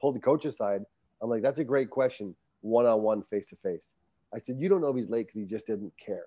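Speaking at a very fast pace, a man with an American accent has a medium pitch, ordinary pitch variation and a dark, mellow tone, in a dry, close sound with no echo. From Rhode Island, US. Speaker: coach and motivational speaker. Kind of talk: casual interview.

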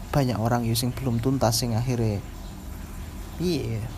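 With audible room echo and noticeable background noise, a man speaks at a medium pitch in a monotone, flat way. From East Java (Bojonegoro). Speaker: podcast co-host. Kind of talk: casual chat.

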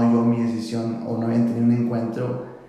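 Noticeable background noise and audible room echo accompany a man of medium pitch speaking at a fairly slow pace. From northern Mexico, Tecate, Baja California. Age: 20s. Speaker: church worship leader. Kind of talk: casual chat.

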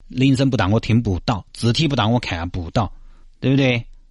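Somewhat breathy and medium in pitch, a man talks fairly quickly with lively intonation against a quiet background. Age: 30s. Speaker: radio host. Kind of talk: radio talk show monologue.

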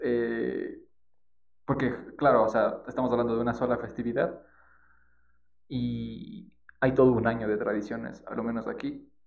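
A man speaks at a fairly slow pace, pausing long and often. Room echo is audible around his voice. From Ecuador, Quito. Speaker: podcast co-host. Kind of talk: casual chat.

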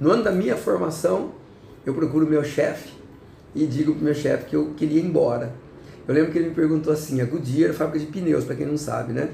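A man talks at a very fast pace, his pitch fairly high and its variation ordinary. The room echo is audible. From interior of São Paulo state, Brazil. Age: 60s. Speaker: city councillor. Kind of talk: interview.

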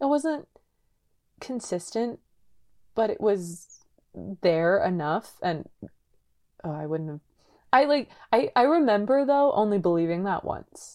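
With a Californian accent, a woman with a medium pitch and a dark, mellow tone speaks at a fairly slow pace, using very wide pitch swings and long, frequent pauses. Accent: Californian American. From San Diego, California. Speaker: podcast co-host. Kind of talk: casual chat.

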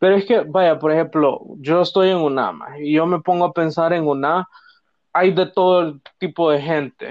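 This man talks at a fairly slow pace in a high pitch, his intonation fairly even and his loudness very even. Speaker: podcast co-host, university student. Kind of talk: casual chat.

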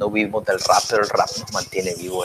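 A man is heard with noticeable background noise. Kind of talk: casual chat.

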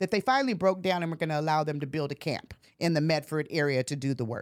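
A woman with an American accent at a very fast pace, on a very clean recording with a silent background. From US Pacific Northwest, Portland, Oregon. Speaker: college administrator. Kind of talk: interview.

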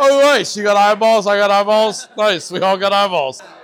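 Crowd noise fills the background as a man speaks with a high pitch. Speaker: axe thrower or spectator. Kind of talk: casual chat. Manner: animated, joking.

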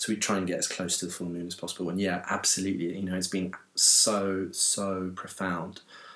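A man with a London accent talks in a very deep, low pitch and a monotone, flat delivery. His pace is fairly quick, with hardly any pauses. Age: 40s. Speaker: dance movement teacher. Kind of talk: casual interview. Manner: halting, many repetitions.

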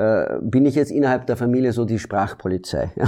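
A man with a Dutch accent talks at a moderate pace in a dark, mellow tone. The background is quiet. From Belgium. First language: Dutch (speaking German). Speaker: actor. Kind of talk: interview. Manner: halting.

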